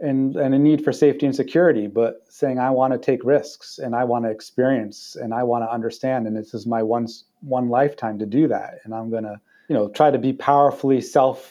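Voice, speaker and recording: A man talks at a fairly quick pace in a plain, everyday voice. His medium pitch holds fairly even intonation. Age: 40s. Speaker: non-profit executive director. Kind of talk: interview conversation.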